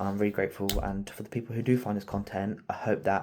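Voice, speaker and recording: Quiet and fairly low-pitched, a man with an English accent speaks in a dark, mellow tone in a very clean recording with a silent background. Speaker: car project youtuber, qualified mechanic. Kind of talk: casual video outro. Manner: halting, filler-heavy.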